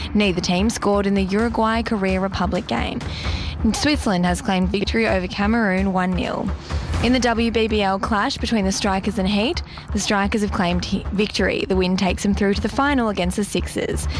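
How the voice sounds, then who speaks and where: The speech moves at a fairly quick pace. The sound is dry with no echo, and background noise is noticeable. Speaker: radio newsreader. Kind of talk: radio news bulletin. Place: studio.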